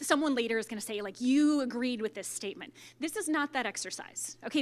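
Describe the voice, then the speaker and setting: Fairly high-pitched woman's speech, fairly quick and lively in intonation, on a very clean recording with a silent background. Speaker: workshop facilitator. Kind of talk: workshop facilitation. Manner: fast; animated.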